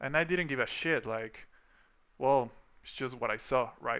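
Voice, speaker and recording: A man speaks with a non-native accent in a bright, sharp tone. The recording is very clean, with a silent background. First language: not English. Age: 30s. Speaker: VFX artist and vlogger. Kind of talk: personal storytelling monologue. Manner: casual, hesitant with fillers.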